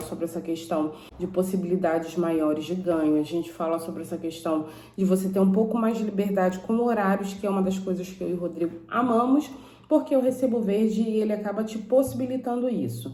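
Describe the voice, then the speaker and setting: Speaking at a fairly quick pace with a Rio accent, a woman uses a medium pitch and lively intonation amid noticeable background noise and audible room echo. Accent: Brazilian Portuguese, Carioca. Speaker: YouTuber. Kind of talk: informational vlog. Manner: casual, conversational.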